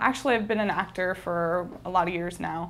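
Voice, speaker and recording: With a General American accent, a woman talks at a fairly quick pace and medium pitch, her intonation fairly even, with audible room echo. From Northern California. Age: 20s. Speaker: actor auditioning as host. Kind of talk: audition self-introduction.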